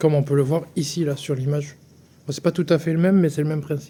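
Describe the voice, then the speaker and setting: A man talks at a fairly quick pace in a fairly high, somewhat breathy voice with fairly even intonation. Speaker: travel vlogger. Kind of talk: casual vlog narration. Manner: soft-spoken.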